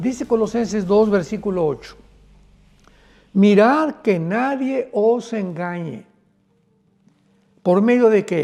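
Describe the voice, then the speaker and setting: Music plays in the background as a man speaks very slowly, with long, frequent pauses. His pitch is high, with ordinary pitch variation. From Mexico. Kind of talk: sermon / prophetic news teaching.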